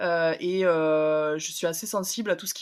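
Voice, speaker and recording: A woman with an unremarkable speaking voice talks at a fairly low pitch. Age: 20s. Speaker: podcast guest. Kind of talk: personal testimony interview. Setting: at home, remote interview.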